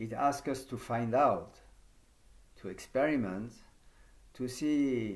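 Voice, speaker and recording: Speaking very slowly with a French accent, a man at a medium pitch shows ordinary pitch variation, with audible room echo around him. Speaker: yoga teacher trainer. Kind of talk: conference talk. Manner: halting.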